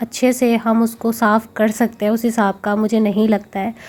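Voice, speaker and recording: A woman speaks with a fairly high voice. Her pace is moderate. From India. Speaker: vlogger. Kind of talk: casual vlog narration. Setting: at home.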